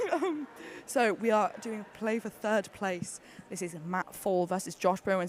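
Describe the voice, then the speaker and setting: At a moderate pace, a woman talks with a British accent. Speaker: climbing competition commentator. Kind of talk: live commentary. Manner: animated.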